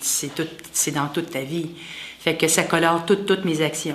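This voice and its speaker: A woman talks at a moderate pace with fairly even intonation. Noticeable background noise and audible room echo come through. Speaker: lay associate of a religious community, massage therapist. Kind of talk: interview testimony. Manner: halting.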